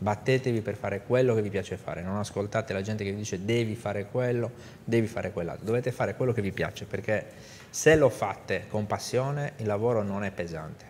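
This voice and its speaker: With light background noise, a man talks at a fairly quick pace in an unremarkable speaking voice, fairly low-pitched with fairly even intonation. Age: 50s. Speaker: business executive; guest. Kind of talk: interview. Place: studio. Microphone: lapel.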